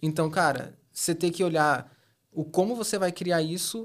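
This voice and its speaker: The recording is very clean, with a silent background. A man speaks at a high pitch with ordinary pitch variation. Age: 30s. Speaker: e-commerce specialist. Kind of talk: casual interview.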